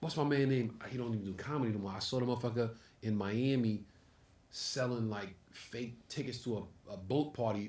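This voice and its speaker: Using a New York accent, a man speaks at a medium pitch and a fairly quick pace. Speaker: comedy club owner and comedian. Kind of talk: casual chat. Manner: animated.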